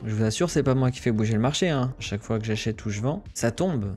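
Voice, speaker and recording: Using ordinary pitch variation, a man delivers his words at a medium pitch. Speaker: crypto trader streamer. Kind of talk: live trading commentary. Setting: livestream. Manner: hesitant, repetitive fillers.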